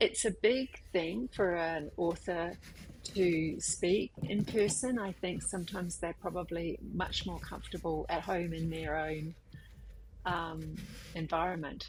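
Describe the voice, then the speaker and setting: With an Australian accent, a woman uses vocal fry at a fairly low pitch and a fairly slow pace. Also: ordinary pitch variation. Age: 50s. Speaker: artist. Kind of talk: casual talk to camera.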